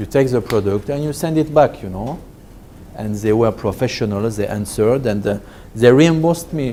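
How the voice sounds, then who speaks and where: A man speaks at a moderate pace with a French accent. His intonation is lively. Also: medium pitch for a man. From France. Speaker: business trainer. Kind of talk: lecture. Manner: halting.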